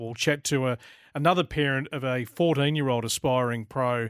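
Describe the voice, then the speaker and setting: Someone with an Australian accent speaks at a moderate pace with ordinary pitch variation. The sound is dry and close with no echo, on a very clean recording with a silent background. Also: man. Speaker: radio host. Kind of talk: live radio show hosting.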